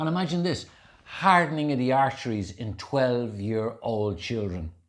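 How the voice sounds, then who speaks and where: Heard in a very clean recording with a silent background, the speaker uses lively intonation at a moderate pace with an Irish accent. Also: man. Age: 60s. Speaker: health and wellness speaker, ultra marathon runner. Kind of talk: casual chat. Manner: animated.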